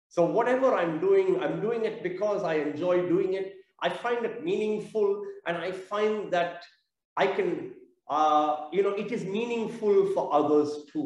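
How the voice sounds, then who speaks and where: Audible room echo surrounds a man who speaks fairly slowly in a high voice with ordinary pitch variation. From South India (Chennai). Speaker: theatre business owner. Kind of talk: interview.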